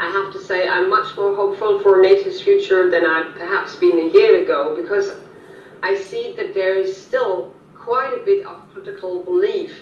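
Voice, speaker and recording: Someone speaks at a moderate pace in a German accent, with big swings in loudness. Audible room echo and noticeable background noise come through. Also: woman. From Germany. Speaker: policy analyst. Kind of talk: interview. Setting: video call. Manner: halting.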